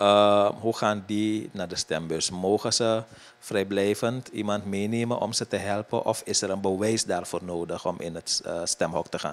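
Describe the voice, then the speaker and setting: A man talks with a plain, everyday voice, fairly low in pitch. His delivery is fairly slow and fairly even, with hardly any pauses. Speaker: interviewer. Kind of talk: interview.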